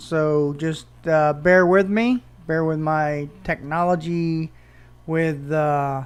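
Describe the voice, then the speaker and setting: Fairly high in pitch, a man speaks at a very slow pace. His intonation stays fairly even. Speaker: photography podcaster. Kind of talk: unscripted solo podcast. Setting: home room with hardwood floor. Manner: hesitant, many ums and ahs.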